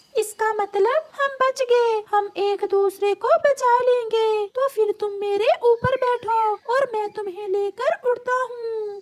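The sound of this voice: Putting on a cartoonish character voice, a woman talks fairly slowly at an extremely high pitch.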